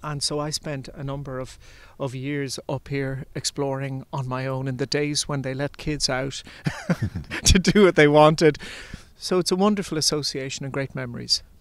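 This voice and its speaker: Speaking with an Irish accent at a moderate pace, a man uses a fairly high pitch and fairly even intonation. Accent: flat Irish. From Ireland, Limerick family, partly Bundoran. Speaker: composer and artistic director. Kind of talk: interview. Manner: hesitant, many fillers.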